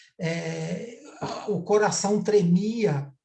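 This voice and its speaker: A man speaks with audible room echo around him. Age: 60s. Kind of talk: online panel discussion. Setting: video call, streamed live.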